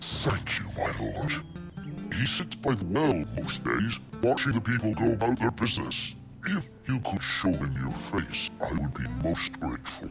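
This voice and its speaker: A man performs a cartoonish character voice with very wide pitch swings at a moderate pace. Clear music plays in the background. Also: fairly low pitch for a man. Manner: courteous, deferential.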